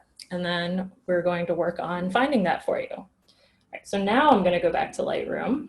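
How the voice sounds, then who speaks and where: Her voice somewhat breathy, a woman speaks at a moderate pace with lively intonation. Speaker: workshop instructor. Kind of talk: tutorial.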